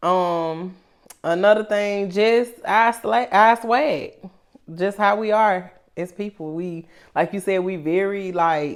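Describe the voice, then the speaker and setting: A woman speaks at a fairly slow pace with a Memphis accent. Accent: Memphis Southern, country. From Memphis, Tennessee. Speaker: rapper. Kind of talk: interview. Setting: studio.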